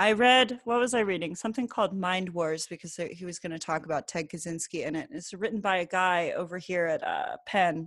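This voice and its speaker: A woman with an ordinary speaking voice and an American accent, medium in pitch with ordinary pitch variation, at a fairly quick pace over a quiet background. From New Jersey. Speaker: podcast host. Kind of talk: casual chat. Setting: remote call.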